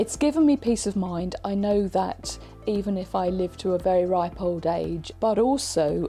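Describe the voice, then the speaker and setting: A woman speaks at a moderate pace, her pitch varying in an ordinary way, with noticeable background noise in the clip. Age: 60s. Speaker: retired nurse, client testimonial. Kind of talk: testimony.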